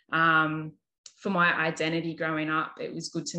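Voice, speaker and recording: A woman's fairly low voice, bright and sharp in tone, with an Australian accent. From Australia, New South Wales. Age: 30s. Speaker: nurse and holistic counsellor. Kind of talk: casual interview.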